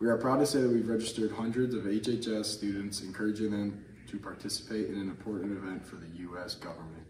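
Over noticeable background noise, a man talks at a very fast pace with hardly any pauses, a fairly low pitch, ordinary pitch variation and big swings in loudness. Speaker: student announcer. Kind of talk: school announcement reading. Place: classroom. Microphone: camera far.

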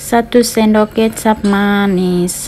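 Light noise runs in the background as a woman talks. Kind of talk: tutorial. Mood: relaxed, friendly. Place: kitchen. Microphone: phone near.

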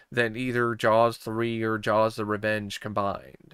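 Against a quiet background, a man speaks very slowly in a monotone, flat delivery, the sound dry with no echo. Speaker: movie reviewer. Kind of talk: commentary. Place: home room.

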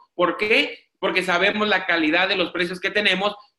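An animated man with a high pitch, audible room echo and a quiet background. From Mexico, Tijuana; Mexico. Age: 30s. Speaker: network marketing presenter; presenter. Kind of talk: sales pitch. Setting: video call. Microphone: video call.

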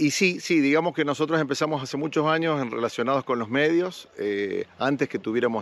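A man speaks in an Argentine accent at a moderate pace. His intonation is lively. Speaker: local resident. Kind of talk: interview. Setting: outdoors.

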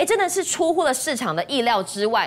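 This woman's voice moves in very wide pitch swings. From Taiwan. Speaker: stock market show host. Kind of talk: TV finance talk show hosting. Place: studio. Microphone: lapel.

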